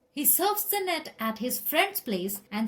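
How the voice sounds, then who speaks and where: At a very slow pace, a woman talks in a somewhat breathy voice with lively intonation. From India. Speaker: relationship counselor. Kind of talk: list narration.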